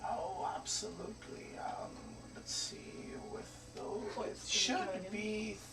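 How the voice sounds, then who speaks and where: A man's put-on character voice at a very slow pace, with loud background noise. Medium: actual play. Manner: thoughtful, hesitant.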